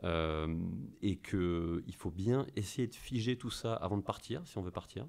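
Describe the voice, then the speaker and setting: This man's voice is very deep and low, with a dark, mellow tone. His pitch varies in an ordinary way. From France. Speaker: investment company representative; podcast debrief. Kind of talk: casual chat. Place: office. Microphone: studio mic.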